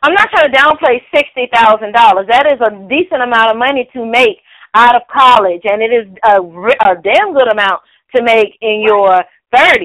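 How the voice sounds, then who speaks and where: An ordinary speaking voice from a woman with a fairly high pitch, lively intonation and a moderate pace. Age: 30s. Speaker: news segment co-host. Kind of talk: casual chat; news reading. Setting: phone call.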